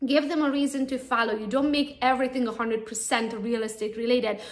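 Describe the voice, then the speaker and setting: With audible room echo, the speaker talks at a fairly quick pace in a Romanian accent. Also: woman. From Romania, Transylvania. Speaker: real estate agent. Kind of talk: conference talk. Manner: animated.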